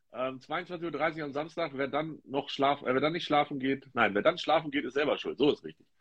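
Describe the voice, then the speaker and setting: Speaking at a moderate pace, a man with fairly high pitch shows ordinary pitch variation. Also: big swings in loudness. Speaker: football tipping podcast host. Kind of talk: casual chat. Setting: Instagram live video stream.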